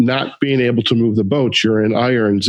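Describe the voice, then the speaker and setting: A man at a moderate pace, with a Midwestern accent. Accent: Midwest US. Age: 50s. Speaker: podcast host. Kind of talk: interview conversation.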